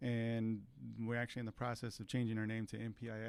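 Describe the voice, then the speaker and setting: Moderate pace, in a Californian accent. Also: man. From California Central Valley, Tulare. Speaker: mechanical engineer. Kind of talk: interview. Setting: studio.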